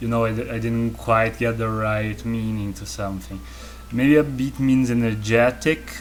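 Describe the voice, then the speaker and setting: A man with a Portuguese accent speaks in a relaxed tone, with audible room echo and noticeable background noise. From Brazil. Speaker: artist streamer. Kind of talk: casual chat. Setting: live stream from home studio. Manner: relaxed, low energy.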